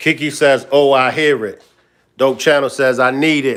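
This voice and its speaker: This voice belongs to a man with a fairly high pitch. He talks in an American accent. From Baltimore, US. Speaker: livestream commentator. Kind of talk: casual livestream commentary. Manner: animated.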